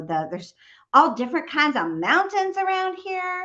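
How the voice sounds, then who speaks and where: With a Southern US accent, a woman speaks in an animated tone, her pitch swinging very widely. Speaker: novelist and audiobook narrator. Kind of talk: casual chat.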